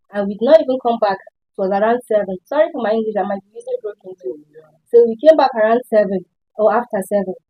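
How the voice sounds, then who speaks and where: The speech moves at a very fast pace, with ordinary pitch variation and big swings in loudness. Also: woman, fairly high pitch for a woman. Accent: Nigerian. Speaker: student. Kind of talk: panel discussion.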